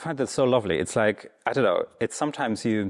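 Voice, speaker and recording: A man with a German accent at a fairly quick pace, ordinary pitch variation, on a very clean recording with a silent background. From Germany, East Berlin. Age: 30s. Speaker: Buddhist teacher. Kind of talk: dharma talk. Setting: meditation center with audience. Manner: casual, hesitant.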